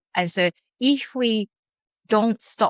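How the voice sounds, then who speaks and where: A woman with a Japanese accent speaks at a very slow pace. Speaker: professor. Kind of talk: podcast interview. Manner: hesitant with fillers.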